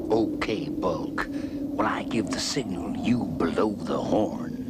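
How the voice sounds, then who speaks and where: A man performs a cartoonish character voice at a very slow pace. Loud background noise runs underneath. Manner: bossy, snappy.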